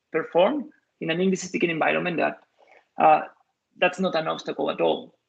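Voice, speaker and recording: With a Spanish accent, a man talks at a fairly quick pace. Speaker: software engineer, invited lecturer. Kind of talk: Q&A after a lecture. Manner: halting, many fillers and restarts.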